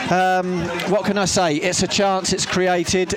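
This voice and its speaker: Against noticeable background noise, a man talks with a high pitch. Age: 60s. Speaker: football radio commentator. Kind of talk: live football play-by-play commentary on local club radio, calling passes and throw-ins. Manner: brisk running commentary with frequent filler 'uh' hesitations; animated, partisan excitement.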